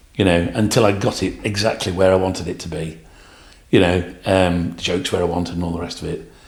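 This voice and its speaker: Very deep and low, a man's voice rushes at a very fast pace with an East Midlands accent and fairly even intonation. His loudness swings widely, and room echo is audible. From England, Nottingham. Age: 60s. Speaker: retired businessman and farmer. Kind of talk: casual chat.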